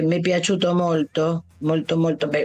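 Moderate pace with noticeable background noise. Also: woman. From Argentina, Buenos Aires. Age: 70s. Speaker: Italian teacher. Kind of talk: interview.

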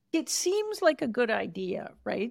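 Woman with vocal fry and a Canadian accent, in a very clean recording against a silent background. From Canada. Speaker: author and podcast host. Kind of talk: interview conversation.

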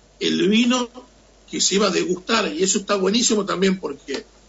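A man's high-pitched voice. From Argentina, Tucumán. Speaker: chef. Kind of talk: interview. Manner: halting.

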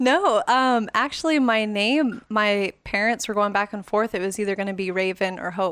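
A woman's ordinary speaking voice at a fairly high pitch, moderate pace with hardly any pauses and ordinary pitch variation, on a very clean recording with a silent background. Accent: American. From Las Vegas, Nevada. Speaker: photographer. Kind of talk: casual interview.

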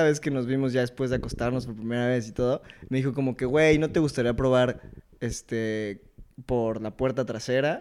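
A man with a medium pitch talks at a moderate pace in an ordinary speaking voice. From Mexico City. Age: 20s. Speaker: engineering student. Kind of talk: casual chat.

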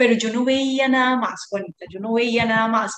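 A woman talks at a moderate pace with a fairly high pitch. Her intonation stays fairly even. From Colombia, Medellín. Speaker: artisan. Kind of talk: interview conversation. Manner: hesitant, many fillers.

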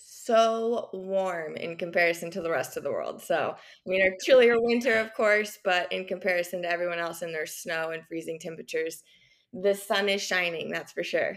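A woman speaks at a moderate pace with a medium pitch and ordinary pitch variation, an unremarkable speaking voice. The recording is very clean, with a silent background. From Kansas, US Midwest. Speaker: small business owner. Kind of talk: casual interview.

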